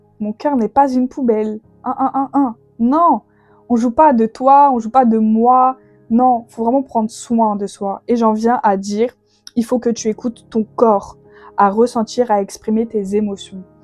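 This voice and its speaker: A woman speaks at a fairly high pitch with fairly even intonation. The sound is dry and close with no echo, and music plays in the background. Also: fairly slow pace. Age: 20s. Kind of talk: faith podcast monologue. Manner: casual, hesitant with fillers.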